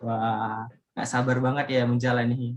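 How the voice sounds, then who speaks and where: A man with a Medan accent, medium-pitched, at a moderate pace. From Indonesia, Medan (North Sumatra). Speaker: student podcast host. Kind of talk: casual podcast chat. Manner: loud; animated.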